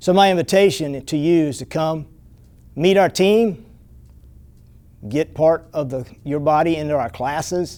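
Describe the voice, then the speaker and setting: A dark, mellow tone at a fairly slow pace, with ordinary pitch variation and long, frequent pauses, on a very clean recording with a silent background. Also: man, fairly high pitch for a man. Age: 60s. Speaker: martial arts instructor. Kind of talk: promotional pitch.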